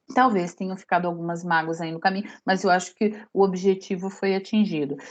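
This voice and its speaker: Fairly quick and fairly even in intonation, a woman at a medium pitch has an ordinary speaking voice. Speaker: lecturer. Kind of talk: lecture.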